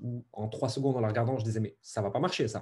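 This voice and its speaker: At a very fast pace, a man with a medium pitch and a dark, mellow tone sounds somewhat breathy. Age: 30s. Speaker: entrepreneur. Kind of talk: interview.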